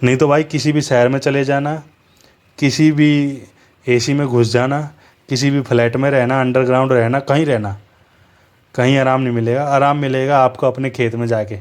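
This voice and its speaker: Flat and monotone, a man's voice holds a medium pitch. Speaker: motorbike vlogger. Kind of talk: casual vlog narration while riding. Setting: outdoors riding a bike in traffic.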